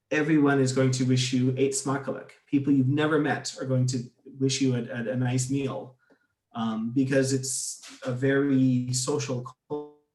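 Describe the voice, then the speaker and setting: A man with an American accent speaks in a medium-pitched, monotone, flat voice. Audible room echo surrounds him. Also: moderate pace. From United States. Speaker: expat interviewee. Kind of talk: interview. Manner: halting, repeats words.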